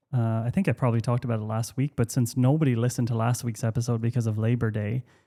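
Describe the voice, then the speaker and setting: A man with an Irish accent talks very fast at a medium pitch, his tone dark and mellow and his intonation fairly even. The recording is very clean and dry, close with no echo and a silent background. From Ireland. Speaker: podcast host and company founder. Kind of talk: casual chat. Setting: home workspace. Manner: casual, halting with many fillers.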